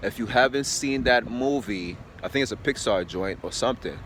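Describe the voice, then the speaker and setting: A man's voice with ordinary pitch variation, against noticeable background noise. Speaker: fitness vlogger. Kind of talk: casual monologue rant. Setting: outdoors early morning. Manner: loud; rambling, filler-heavy.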